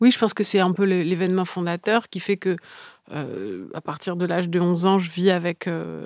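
On a very clean recording with a silent background, a woman speaks. Her fairly low voice keeps a moderate pace and fairly even intonation. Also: dry, close sound with no echo. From Paris region, France (Yvelines). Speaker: novelist. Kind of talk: interview. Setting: literary festival. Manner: halting.

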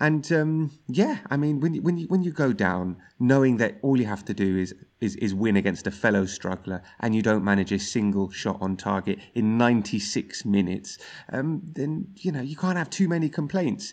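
A man with a London accent speaks at medium pitch and a moderate pace, with very wide pitch swings. The background is quiet. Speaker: football pundit and TV presenter. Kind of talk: casual chat.

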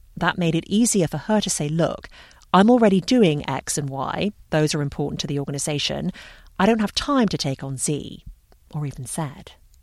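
An ordinary speaking voice talks at a moderate pace with lively intonation. The recording is very clean, with a silent background. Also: woman, fairly low pitch for a woman. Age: 40s. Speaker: podcast host. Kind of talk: scripted narration with interview.

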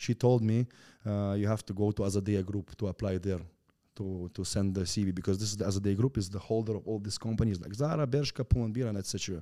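A man with a Russian accent talks at a very fast pace in a dark, mellow tone. The sound is dry and close, with no echo. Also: fairly low pitch for a man, very clean recording, silent background. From Turkmenistan. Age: 20s. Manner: energetic, animated.

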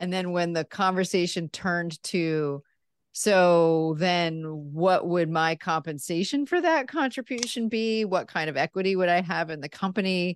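A woman with a normal speaking voice talks at a moderate pace, her pitch fairly low and her pitch variation ordinary, in a dry, close sound with no echo. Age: 40s. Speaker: message strategist and author. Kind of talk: interview.

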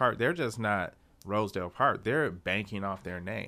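Over a silent background in a very clean recording, a man with an American accent talks at a moderate pace in a bright, sharp tone with ordinary pitch variation. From Detroit, Michigan. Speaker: city storyteller. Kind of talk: casual interview chat.

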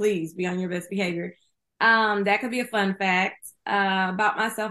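A woman's medium-pitched voice with an American accent and a bright, sharp tone, at a moderate pace in a quiet background. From Houston, Texas. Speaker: screenwriter and author. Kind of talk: interview.

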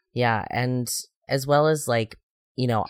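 A man with an American accent and a plain, everyday voice talks at a moderate pace, recorded very cleanly against a silent background with a dry, close sound and no echo. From US Midwest. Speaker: podcast host. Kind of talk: casual chat.

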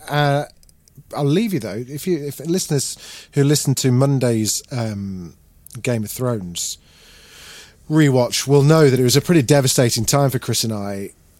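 A man talks at a moderate pace. His medium pitch shows ordinary variation. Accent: British. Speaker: podcast host. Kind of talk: casual chat.

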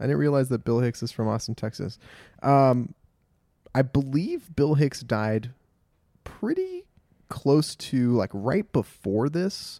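Dry and close with no echo, a man's dark, mellow voice at medium pitch moves at a very slow pace with long, frequent pauses, in a Californian accent. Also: ordinary pitch variation. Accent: General American (Californian). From Los Angeles, US. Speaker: podcast host. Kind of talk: casual chat. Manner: animated.

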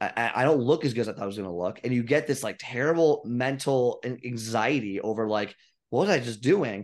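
A man with an American accent, a normal speaking voice at medium pitch, ordinary pitch variation, a fairly quick pace, and a quiet background. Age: 30s. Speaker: fitness coach. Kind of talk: casual chat.

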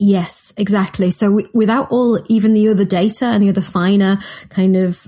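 On a very clean recording with a silent background, a woman with a Mancunian accent speaks at a moderate pace and medium pitch. Her dark, mellow tone is somewhat breathy, and her intonation is fairly even. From Manchester, northern England. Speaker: nutritionist and co-author. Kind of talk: casual chat.

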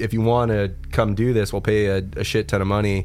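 With an ordinary speaking voice, a man talks fairly quickly at medium pitch and with fairly even intonation. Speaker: musician. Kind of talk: casual chat. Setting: studio.

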